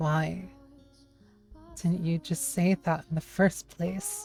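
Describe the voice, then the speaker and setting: Shaky, very slow put-on character voice at middle pitch, with music in the background. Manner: sniveling.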